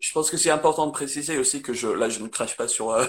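A man is speaking. He has a slight English accent. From northern England, Manchester area. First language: English (speaking French). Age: 20s. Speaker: English teacher. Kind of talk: casual interview. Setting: Instagram live video. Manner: halting.

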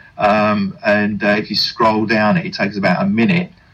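Moving at a moderate pace, a man at medium pitch makes very wide pitch swings. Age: 60s. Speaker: poet. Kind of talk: radio interview.

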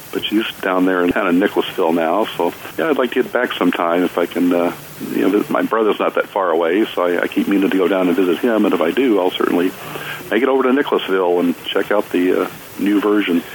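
Against noticeable background noise, a man with a very deep, low pitch talks at a very fast pace. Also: ordinary pitch variation. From Kentucky, Jessamine County. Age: 60s. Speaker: artist. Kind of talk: casual interview. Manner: halting, many fillers.

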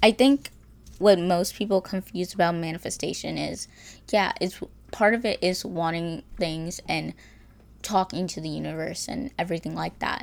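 A woman's medium-pitched voice with vocal fry, ordinary pitch variation and big swings in loudness, on a very clean recording with a silent background. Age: 20s. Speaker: podcast host, college student. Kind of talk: casual solo monologue. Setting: home recording in bedroom.

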